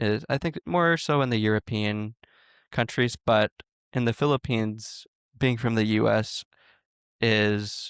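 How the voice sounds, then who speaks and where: In a very clean recording with a silent background and a dry, close sound with no echo, a man with an American accent has a fairly low pitch and an unremarkable speaking voice. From United States. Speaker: podcast co-host. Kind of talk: casual chat.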